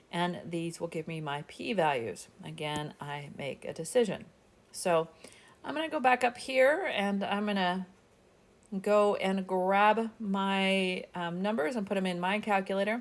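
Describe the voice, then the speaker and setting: Speaking at a fairly slow pace, a woman uses lively intonation at a medium pitch, with a normal speaking voice. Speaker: statistics instructor. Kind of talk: tutorial.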